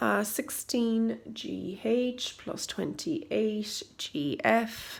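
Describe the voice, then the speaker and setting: Speaking very slowly in an Irish accent, a woman talks with hardly any pauses. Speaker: maths teacher. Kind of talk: tutorial.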